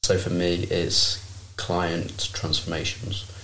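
In a room with audible echo, a man speaks with a very deep, low pitch and a somewhat breathy sound. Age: 20s. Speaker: personal trainer. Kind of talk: casual chat.

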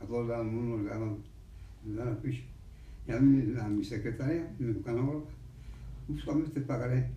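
A man with a medium pitch, fairly even intonation and a moderate pace, with long, frequent pauses and audible room echo. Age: 80s+. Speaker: centenarian interviewee. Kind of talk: interview.

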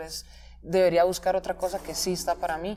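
Talking at a very fast pace, a woman with a medium pitch has a dark, mellow tone with vocal fry. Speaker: podcast host. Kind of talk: interview.

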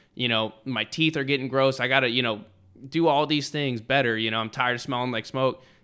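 With an American accent, the speaker moves at a fairly quick pace in a bright, sharp, energetic tone on a very clean recording with a silent background. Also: man, medium pitch for a man. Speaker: podcast host; Marine. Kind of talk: casual chat. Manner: energetic, casual.

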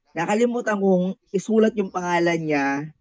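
A man speaks in a high voice with ordinary pitch variation. The sound is dry and close, with no echo. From Philippines, Bicol. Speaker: anonymous guest sharing personal story. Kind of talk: personal testimony.

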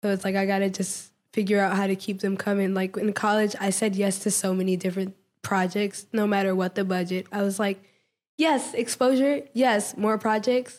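A woman with an American accent talks at a moderate pace and medium pitch in an ordinary speaking voice, her intonation fairly even and her loudness very even, on a very clean recording with a silent background. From Washington DC. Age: 20s. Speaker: artist. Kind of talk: casual interview.

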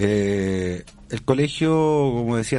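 Here a man speaks in a dark, mellow tone. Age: 40s. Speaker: school director and teacher. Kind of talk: radio interview. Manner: halting.

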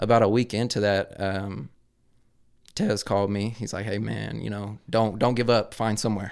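In a plain, everyday voice, a man speaks at a moderate pace with a fairly low pitch and fairly even intonation, in a very clean recording with a silent background. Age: 20s. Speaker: real estate entrepreneur. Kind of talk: casual chat.

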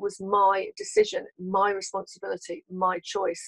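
A woman's voice comes through dry and close, with no echo. Her intonation stays fairly even. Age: 60s. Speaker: personal development coach. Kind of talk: interview testimony.

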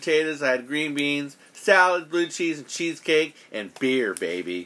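Loud and bright with a sharp tone, a man speaks at a moderate pace in a fairly high pitch. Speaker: podcast host. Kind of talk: casual chat. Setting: studio.

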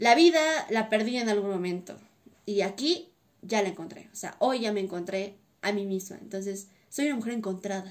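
An unremarkable speaking voice from a woman, medium in pitch with ordinary pitch variation. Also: moderate pace. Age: 20s. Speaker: dancer. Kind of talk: casual interview; scripted narration.

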